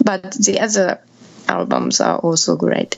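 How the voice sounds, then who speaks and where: Noticeable background noise surrounds a woman speaking in a Japanese accent. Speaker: electronic musician. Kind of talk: interview.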